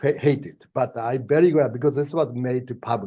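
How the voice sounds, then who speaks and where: A man with a Japanese accent, medium pitch, ordinary pitch variation, and a moderate pace. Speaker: professor. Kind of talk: lecture. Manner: hesitant, many fillers.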